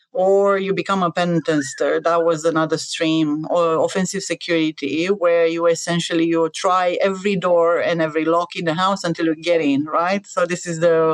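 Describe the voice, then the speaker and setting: In an Eastern European accent, a woman speaks with a fairly low pitch and monotone, flat intonation. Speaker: cybersecurity adviser. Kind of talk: podcast interview. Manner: hesitant with many fillers.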